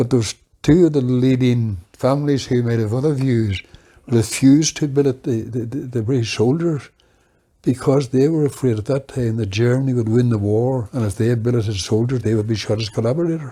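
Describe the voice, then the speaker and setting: The voice has a dark, mellow tone and a Northern Irish accent. It moves at a fairly quick pace with ordinary pitch variation. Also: man, medium pitch for a man. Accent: Fermanagh Northern Irish. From Northern Ireland, Fermanagh border. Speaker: oral history interviewee. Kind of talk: reminiscence interview. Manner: halting.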